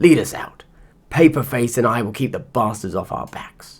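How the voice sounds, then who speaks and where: A man puts on a raspy, rumbling character voice at a medium pitch, with ordinary pitch variation. He talks at a moderate pace, and his loudness swings widely. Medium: read story. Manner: blunt, cursing.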